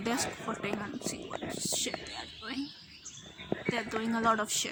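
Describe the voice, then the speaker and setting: A woman is whispering amid noticeable background noise and audible room echo. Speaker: vlogger. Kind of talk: casual vlog chat. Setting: outdoors at a picnic.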